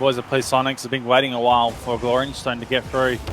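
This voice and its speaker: Over music in the background, a man with an Australian accent speaks at a medium pitch with monotone, flat intonation. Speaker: esports caster. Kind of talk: live commentary. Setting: live stream. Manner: fast.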